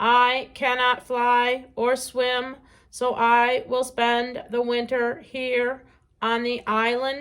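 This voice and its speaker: Putting on a character voice, a woman speaks at a high pitch and a very slow pace in a monotone, flat intonation. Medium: read story. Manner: precise, no contractions.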